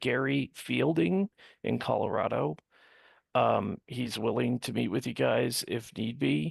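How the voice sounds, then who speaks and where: A quiet voice at a fairly slow pace, dry and close with no echo. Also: man. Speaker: state party representative. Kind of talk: committee meeting discussion.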